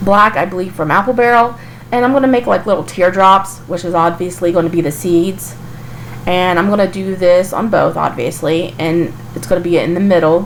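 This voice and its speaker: Lively intonation marks a woman's fairly low-pitched voice at a moderate pace. Noticeable background noise is present. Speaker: craft channel host. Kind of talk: DIY tutorial voice-over. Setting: recorded in a kitchen. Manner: casual, chatty.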